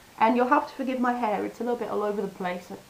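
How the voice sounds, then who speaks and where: Noticeable background noise accompanies this recording. A woman talks at a very fast pace in a high pitch. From France. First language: French. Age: 30s. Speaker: language teacher vlogger. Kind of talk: casual vlog. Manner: animated.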